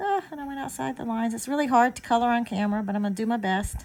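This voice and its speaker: A squeaky, somewhat breathy woman with a Southern US accent talks at a fairly high pitch with lively intonation. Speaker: card-making crafter. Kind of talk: craft tutorial talk to camera. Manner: casual, chatty.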